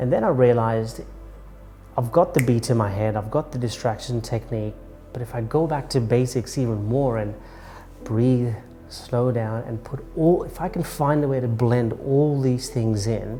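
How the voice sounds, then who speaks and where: Music plays in the background as a man talks at a moderate pace. His pitch is medium, with ordinary variation. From Kenya (Mombasa). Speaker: documentary subject. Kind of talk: personal testimony. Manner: halting, with repetitions.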